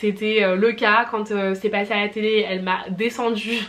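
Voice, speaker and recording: Noticeable background noise sits behind a woman who speaks at a moderate pace in a fairly high, flat monotone. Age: 20s. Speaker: personal shopper. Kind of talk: casual talk to camera.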